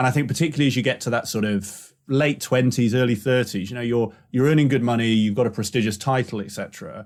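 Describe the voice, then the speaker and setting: Speaking at a very fast pace with hardly any pauses, a man uses a medium pitch and ordinary pitch variation on a very clean recording with a silent background. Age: 30s. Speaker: podcast host. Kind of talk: interview.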